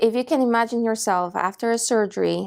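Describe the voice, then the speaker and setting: Speaking with a Polish accent, a woman keeps a moderate pace and fairly even intonation. The recording is very clean, with a silent background. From Poland. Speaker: patient care manager. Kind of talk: interview answer. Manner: hesitant, with filler sounds.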